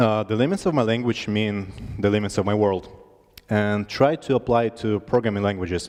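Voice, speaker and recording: This man speaks with a Russian accent at a medium pitch. His pace is fairly quick. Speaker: conference speaker. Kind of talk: tech talk. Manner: halting.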